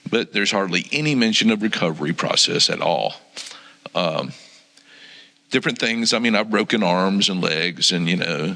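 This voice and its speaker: A man with an American accent at a moderate pace, with noticeable background noise. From Florida. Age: 60s. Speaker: church member sharing testimony. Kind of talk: testimony. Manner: halting, many ums.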